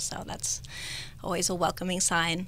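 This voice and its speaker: A woman with an American accent talks at a fairly quick pace, in a dry sound with no echo over light background noise. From Northern California. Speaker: cosmetic patient, esthetician. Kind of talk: radio interview, testimony. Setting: radio studio. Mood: warm, appreciative. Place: studio. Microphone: studio mic.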